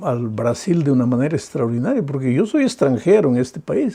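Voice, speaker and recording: The voice belongs to a man and sits fairly high. It has a dark, mellow tone. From Peru. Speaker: pastor. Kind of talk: sermon.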